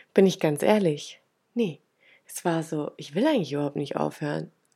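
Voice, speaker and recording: She speaks in a normal speaking voice. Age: 30s. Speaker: podcast host, manifestation coach. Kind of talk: personal story monologue. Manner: casual, many filler sounds.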